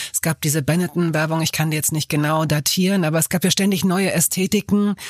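A woman speaks with a very deep, low pitch and ordinary pitch variation. The sound is dry and close, with no echo. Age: 50s. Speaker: podcast host, journalist. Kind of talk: interview. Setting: studio.

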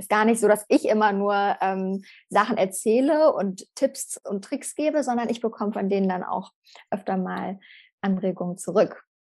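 A woman's voice at medium pitch, an unremarkable speaking voice with ordinary pitch variation, in a quiet background. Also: moderate pace. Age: 20s. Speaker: primary school teacher. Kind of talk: casual interview.

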